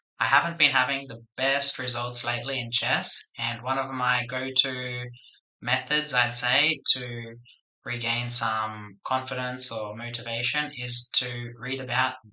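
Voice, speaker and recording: A quiet man's voice at a medium pitch, in a flat, monotone delivery. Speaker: English teacher. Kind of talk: casual talk to camera. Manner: quiet, subdued.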